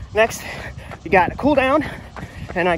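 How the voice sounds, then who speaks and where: There is noticeable background noise as a man talks in a high voice with ordinary pitch variation. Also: dry sound with no echo. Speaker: runner vlogger. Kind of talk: casual vlog chat. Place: street. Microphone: phone near.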